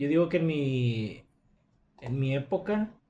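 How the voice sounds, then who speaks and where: A man speaks at medium pitch with ordinary pitch variation. His dark, mellow tone is somewhat breathy. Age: 20s. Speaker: podcast co-host. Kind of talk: casual chat.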